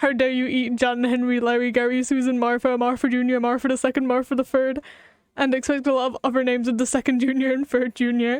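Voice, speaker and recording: At a very fast pace, a woman with a high pitch speaks with very even loudness, the sound dry and close with no echo. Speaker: gaming streamer. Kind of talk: casual live-stream gameplay commentary. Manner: animated.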